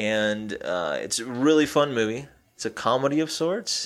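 This man has an ordinary speaking voice. His pitch variation is ordinary. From US Southeast. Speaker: podcast co-host. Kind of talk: casual chat.

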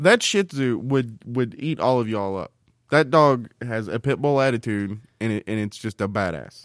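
A man with a plain, everyday voice speaks at a medium pitch and moderate pace with lively intonation, the sound dry and close with no echo in a very clean recording with a silent background. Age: 30s. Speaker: podcast co-host. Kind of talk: casual chat. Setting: studio.

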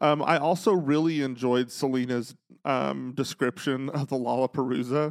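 In an unremarkable speaking voice, a man at medium pitch talks at a moderate pace with fairly even intonation, in a dry, close sound with no echo. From Texas. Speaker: podcast host. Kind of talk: casual chat. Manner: humorous, sarcastic.

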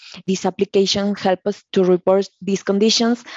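A woman speaks with a Mexican accent and fairly even intonation. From Mexico. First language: Spanish. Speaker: process engineer. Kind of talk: interview.

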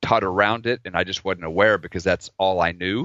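This man has a fairly low pitch, fairly even intonation, and a normal speaking voice. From Oklahoma, US. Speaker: dentist and podcaster. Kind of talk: casual chat. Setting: video call.

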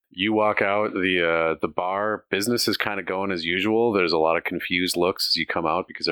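This is a natural reading voice. It reads the text aloud.

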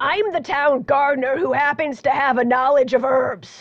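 A woman puts on a character voice that is high and raspy. She speaks at a moderate pace.

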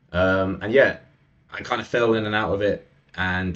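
A man speaks with a somewhat breathy sound. His intonation stays fairly even. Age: 20s. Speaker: men's coach. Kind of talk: interview conversation.

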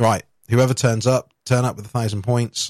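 In a British accent, a somewhat breathy man with a medium pitch is heard on a very clean recording with a silent background, the sound dry and close with no echo. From UK. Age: 30s. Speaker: podcast host. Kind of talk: casual chat.

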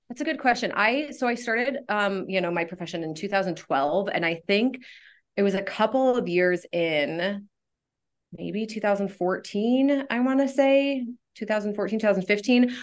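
Speaking with an American accent, a woman has a normal speaking voice at a medium pitch. She talks at a moderate pace with lively intonation. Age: 30s. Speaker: school counselor. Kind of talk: casual interview. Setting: studio.

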